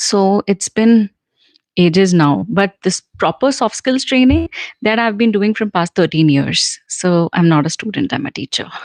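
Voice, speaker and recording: Sounding dry and close with no echo, a woman speaks at a fairly slow pace. Her medium-pitched voice has lively intonation. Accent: Indian. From central India. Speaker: English communication trainer. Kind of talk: live Q&A stream. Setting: livestream. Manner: casual, conversational with fillers.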